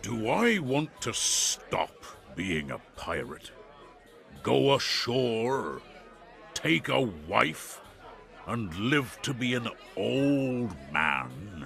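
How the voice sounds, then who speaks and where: A man puts on a character voice, with very wide pitch swings around a medium pitch and a very slow pace. Long, frequent pauses break it up, and background noise is clearly audible. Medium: read story. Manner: loud, commanding.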